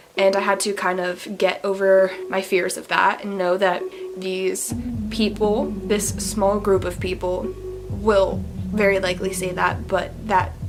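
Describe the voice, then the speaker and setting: A woman's fairly slow speech plays with music in the background. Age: young. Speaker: singer-songwriter. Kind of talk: casual talk to camera.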